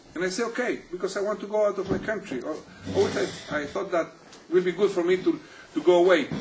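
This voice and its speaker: Over noticeable background noise, a man with a high pitch talks at a very fast pace with lively intonation, broken by long, frequent pauses. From Chile, Santiago. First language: Spanish. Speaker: physical therapist. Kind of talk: interview. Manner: halting.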